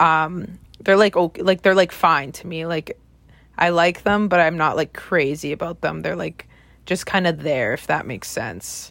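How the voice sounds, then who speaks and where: A woman's voice carries vocal fry and ordinary pitch variation. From Regina, Saskatchewan, Canada. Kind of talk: casual chat. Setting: remote call.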